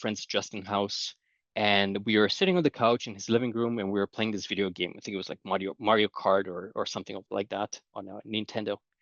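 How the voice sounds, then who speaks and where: Speaking at a fairly quick pace, a man with a Romanian accent has a fairly low pitch. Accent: non-Canadian accent, Romanian. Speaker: conference speaker, data governance expert. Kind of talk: conference talk. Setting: conference presentation.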